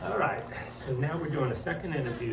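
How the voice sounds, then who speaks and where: Against noticeable background noise, a man talks at a fairly quick pace with ordinary pitch variation. There is audible echo from the room. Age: 60s. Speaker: family interviewer. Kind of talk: family oral history interview. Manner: halting, many ums.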